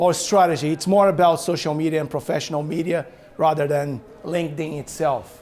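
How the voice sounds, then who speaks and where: At a fairly quick pace, a man speaks with a fairly high pitch for a man. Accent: non-native. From Brazil. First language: Portuguese. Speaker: author and business owner. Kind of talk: talk to an audience. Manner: animated.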